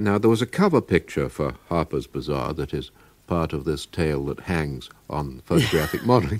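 With a British accent, a man speaks at a moderate pace in a very deep, low pitch, with lively intonation and vocal fry. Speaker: radio presenter. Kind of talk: radio interview questions. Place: studio.

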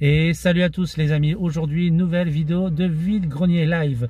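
A man's high-pitched voice at a fairly slow pace, dry with no echo. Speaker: flea-market vlogger. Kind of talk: casual vlog chat. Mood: relaxed, friendly. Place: car. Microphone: phone near.

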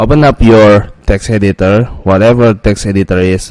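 Fairly even intonation from a man with a fairly low voice. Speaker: coding tutorial youtuber. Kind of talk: screen-recorded coding tutorial. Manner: quiet, not loud; hesitant, many fillers.

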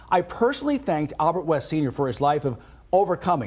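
Talking very fast, a man with fairly high pitch and vocal fry uses lively intonation. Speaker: TV news anchor and reporter. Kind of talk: news anchor talk. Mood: warm, earnest. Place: studio.

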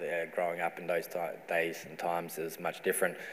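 In a very deep, low pitch, a man talks with monotone, flat intonation. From South Australia. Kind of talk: welcome to country speech. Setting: stage with audience. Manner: humorous. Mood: calm, reflective, sincere. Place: hall. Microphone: lapel.

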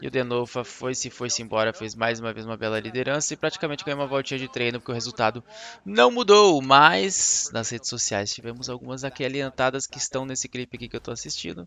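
A man with a Brazilian accent talks very fast with hardly any pauses, at a medium pitch with ordinary pitch variation, in a dry sound with no echo over light background noise. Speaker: YouTuber and motorsport commentator; streamer reacting to drift races. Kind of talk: video commentary over race footage. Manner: animated. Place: home room.

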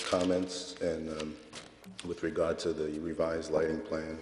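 There is noticeable background noise behind a man's voice. His pitch is very deep and low, with monotone, flat intonation. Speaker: site engineer presenting project. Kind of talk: formal presentation to a board. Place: meeting room. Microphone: podium.

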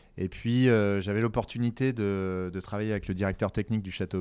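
A man's voice with ordinary pitch variation. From Paris, France. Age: 40s. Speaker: chef and restaurateur. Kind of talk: interview. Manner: halting, many fillers.

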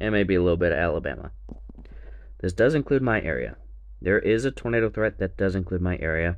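Using vocal fry and lively intonation, a man speaks very fast in a very deep, low voice with long, frequent pauses. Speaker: weather forecaster. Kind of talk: weather report, read as a rundown of risk areas. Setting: solo video recording.

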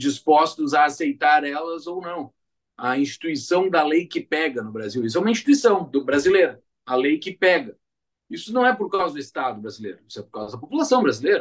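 A man talks at a fairly quick pace with a fairly high pitch and very wide pitch swings. His loudness swings widely against a quiet background. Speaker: podcast host. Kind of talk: casual podcast discussion. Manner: hesitant, many fillers. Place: home room.

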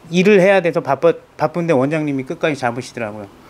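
With lively intonation, a man speaks in a fairly high voice. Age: 40s. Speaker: patient, small business owner. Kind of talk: interview testimony. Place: office. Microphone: lapel.

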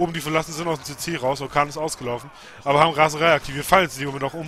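A man's fairly high, monotone, flat delivery at a very fast pace, over noticeable background noise. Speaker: game commentator. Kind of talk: live game commentary.

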